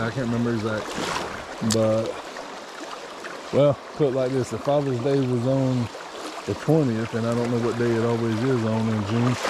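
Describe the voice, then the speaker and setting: Mumbling in a monotone, flat intonation at a medium pitch, a man talks at a moderate pace with long, frequent pauses, amid noticeable background noise and audible room echo. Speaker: fishing vlogger. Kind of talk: casual outdoor vlog narration. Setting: outdoors by a stream.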